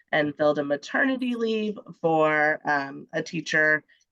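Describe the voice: A woman speaks at a fairly slow pace, her voice nasal. The tone is bright and sharp, yet clear and smooth.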